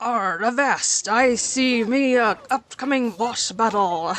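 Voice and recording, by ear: In a put-on character voice, a female-sounding speaker talks at a fairly slow pace and a fairly high pitch.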